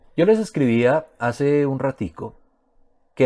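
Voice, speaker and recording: A man speaks at a fairly slow pace with lively intonation and a dark, mellow tone. The recording is very clean, with a silent background. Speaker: physics teacher. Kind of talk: lecture. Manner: casual, colloquial.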